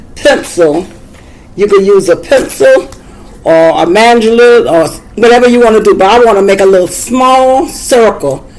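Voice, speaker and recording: Over noticeable background noise, a woman with an American accent speaks fairly slowly at a medium pitch with lively intonation. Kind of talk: tutorial. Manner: casual, halting.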